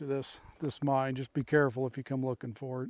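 A man speaks at a moderate pace, and the sound is dry with no echo. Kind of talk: casual vlog commentary. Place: open country. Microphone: phone near.

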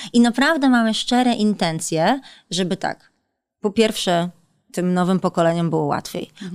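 A woman talks at a fairly quick pace in a medium pitch. The background is quiet. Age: 30s. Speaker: politician. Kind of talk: interview. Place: studio. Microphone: studio mic.

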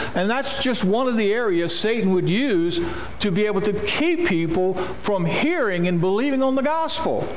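With lively intonation and a moderate pace, a man speaks amid light background noise and audible room echo. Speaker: preacher. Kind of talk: sermon. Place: church. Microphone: podium.

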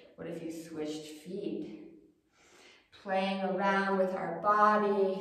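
In a room with strong echo, a woman speaks in a warm, soothing tone at a very slow pace, with ordinary pitch variation, big swings in loudness and long, frequent pauses. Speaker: yoga instructor. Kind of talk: guided yoga class, calm cueing of poses and breath. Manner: soothing, gentle, unhurried; encouraging, warm. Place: home room. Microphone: camera far.

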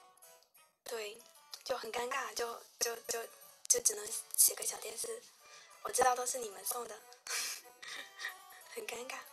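Against music in the background, a woman speaks at a very slow pace. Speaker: livestream host. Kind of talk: casual livestream chat with viewers. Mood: shy, lightly awkward, playful. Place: home room.

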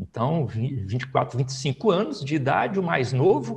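A man against a quiet background. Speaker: politician, federal deputy. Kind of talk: oral history interview. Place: home room. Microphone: lapel.

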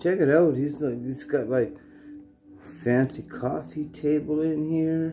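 A man speaks at a very slow pace as clear music plays in the background. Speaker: comic vlogger. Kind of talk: casual vlog chat. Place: home room. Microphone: phone near.

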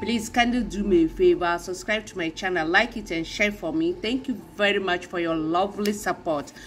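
Over light background noise, a woman talks at a fairly quick pace with lively intonation. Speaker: reaction video creator. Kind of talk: casual vlog commentary. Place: home room. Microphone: phone near.

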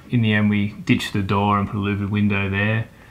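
This man talks at a fairly quick pace with an Australian accent. His pitch is fairly low. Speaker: homeowner. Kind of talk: home tour interview. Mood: relaxed, proud. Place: home room. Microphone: lapel.

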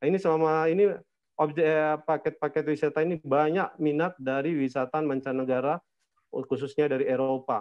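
Against a quiet background, the voice holds a very even loudness with fairly even intonation. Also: man, fairly high pitch for a man, fairly quick pace. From Manado, North Sulawesi; North Sulawesi. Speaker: tour operator; presenter. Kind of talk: online presentation. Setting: video call. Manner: halting, many fillers. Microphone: video call.

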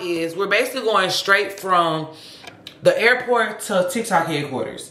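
A woman talks at a fairly slow pace. Room echo is audible around her voice. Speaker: vlogger. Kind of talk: casual vlog chat. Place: home room. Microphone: phone near.

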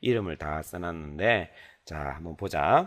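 The pace is very slow. The intonation is lively. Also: man. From South Korea. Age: 40s. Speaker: father teaching his child. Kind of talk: lesson for a child. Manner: halting, many fillers.

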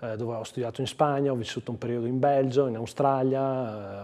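A man speaks at a very fast pace and a medium pitch. His intonation is fairly even, and the background is quiet. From Trentino, Giudicarie (Storo area); Trentino, Italy. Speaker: provincial councillor. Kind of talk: TV interview. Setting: studio. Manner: hesitant, with fillers. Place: studio. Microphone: lapel.

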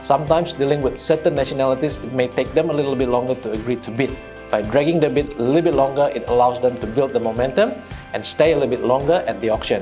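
A man at a medium pitch and a very fast pace, with clear music in the background. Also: ordinary pitch variation. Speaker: real estate agent. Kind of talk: corporate explainer to camera. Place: office. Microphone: lapel.

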